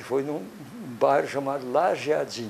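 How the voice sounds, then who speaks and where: A man talks while noticeable background noise is present. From Brazil, interior of São Paulo state. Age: 70s. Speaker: local elder giving historical testimony. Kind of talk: oral history interview. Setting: at his home. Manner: halting, with self-corrections.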